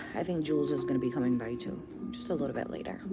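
A woman speaks at a fairly quick pace over loud background music. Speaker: pregnant vlogger. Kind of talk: casual vlog chat. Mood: anxious, worried.

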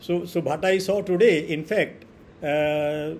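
A man with an Indian accent and ordinary pitch variation, with light background noise. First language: Hindi. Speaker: professor giving lecture. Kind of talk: online lecture. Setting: video call. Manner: hesitant, fillers, repeats words. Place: home room.

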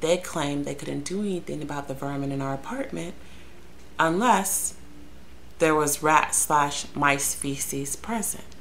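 A woman speaks at a fairly slow pace with a very deep, low pitch and ordinary pitch variation. Light background noise sits behind her. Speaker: vlogger telling a story. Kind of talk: casual vlog chat. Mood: sarcastic, exasperated. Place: home room. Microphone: webcam.

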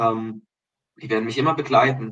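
A man talks at a fairly quick pace with fairly even intonation over a quiet background. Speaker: kindergarten director, religious education graduate; podcast guest. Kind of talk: casual interview. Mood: reflective, earnest. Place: home room. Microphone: video call.

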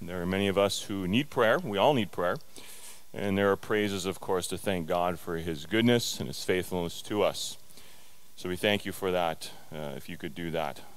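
This man's pitch is very deep and low. He talks at a moderate pace. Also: ordinary pitch variation. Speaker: preacher. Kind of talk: sermon. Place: church. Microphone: headset.

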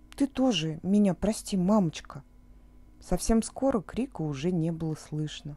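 Very slowly, a woman speaks in a fairly low voice with a dark, mellow tone and a calm, soothing quality, her intonation lively. The recording is very clean, with a silent background. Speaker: audiobook narrator. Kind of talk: children's bedtime story reading.

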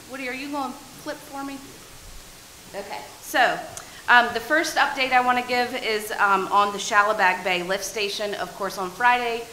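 Audible room echo and light background noise surround a woman speaking at a high pitch and moderate pace, with ordinary pitch variation and long, frequent pauses. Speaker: town staff member. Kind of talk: meeting staff report. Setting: town council meeting. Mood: upbeat, pleased. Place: meeting room. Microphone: podium.

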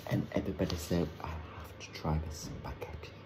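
At a moderate pace, this man talks while noticeable background noise carries on. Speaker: food vlogger. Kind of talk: casual food tasting vlog. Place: home room. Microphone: phone near.

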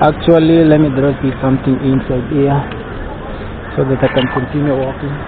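The delivery is at a moderate pace, with monotone, flat intonation and long, frequent pauses. Noticeable background noise comes through in a dry sound with no echo. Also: man, fairly high pitch for a man. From Kenya. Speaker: YouTube vlogger. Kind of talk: walking vlog narration. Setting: outdoors, city street. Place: street. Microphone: phone near.

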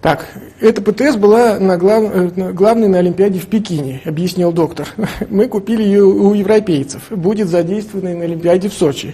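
Moderate in speed, a man's high voice rises and falls in an ordinary way. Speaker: lecturer. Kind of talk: lecture. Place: hall. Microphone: lapel.

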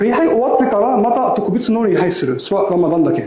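A man's fairly quick speech with very wide pitch swings, audible room echo, and light background noise. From Egypt. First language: Arabic (speaking Japanese). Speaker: imam. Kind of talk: lecture. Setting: mosque with audience. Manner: simple non-native phrasing. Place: hall. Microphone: lapel.

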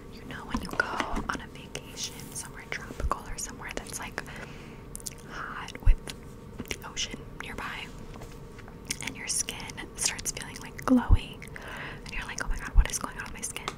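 A woman's whisper at a moderate pace, with long, frequent pauses and big swings in loudness. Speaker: ASMR creator. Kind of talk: ASMR skincare ramble to camera. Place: home room. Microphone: studio mic.

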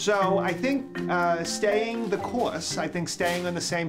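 Clear music plays in the background. Over it, a man with an American accent speaks at a fairly high pitch. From Boston, Massachusetts. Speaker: pediatric gastroenterologist. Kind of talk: doctor talking with patient. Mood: calm, reassuring.

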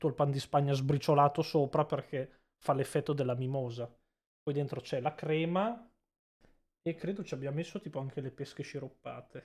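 A man with a normal speaking voice talks at a moderate pace, pitched fairly high with ordinary pitch variation. The recording is very clean, with a silent background. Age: 20s. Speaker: streamer. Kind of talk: casual live stream chat.

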